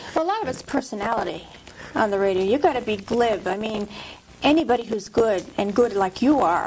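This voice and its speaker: Fairly quick speech from a woman with a fairly high pitch, noticeable background noise behind her. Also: ordinary pitch variation. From Vermont. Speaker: talk show host. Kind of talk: interview.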